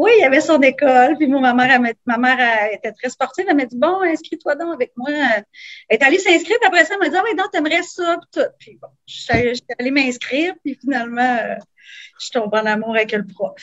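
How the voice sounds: A woman speaks at a fast pace and a high pitch. Her pitch varies in an ordinary way.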